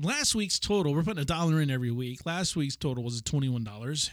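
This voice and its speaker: In a very clean recording with a silent background, a man with an ordinary speaking voice talks at a fairly quick pace with lively intonation. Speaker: podcast co-host. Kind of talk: casual chat.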